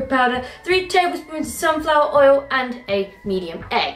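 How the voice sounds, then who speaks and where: At a moderate pace and high pitch, a woman speaks amid audible room echo, with faint music in the background. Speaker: cooking vlogger. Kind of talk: casual vlog chat. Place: kitchen. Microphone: camera far.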